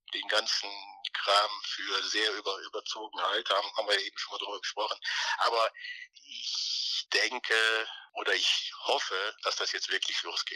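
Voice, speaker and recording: The sound is close and dry, without any echo. A man speaks fairly slowly. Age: 60s. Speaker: former racing driver. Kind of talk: interview. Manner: halting, many repetitions and fillers.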